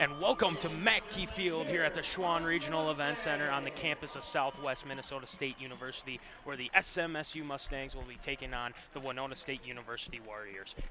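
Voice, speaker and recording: Barely pausing, a man speaks at a very fast pace in a fairly high pitch, his loudness swinging widely over noticeable background noise. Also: ordinary pitch variation. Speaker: play-by-play announcer. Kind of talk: live college football play-by-play commentary.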